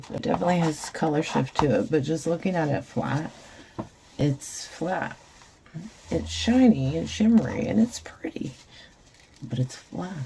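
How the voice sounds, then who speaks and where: Her pitch is very deep and low, yet this woman's voice swings very widely. Long, frequent pauses break up her speech over noticeable background noise. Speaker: resin crafter. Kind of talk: tutorial. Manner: slow.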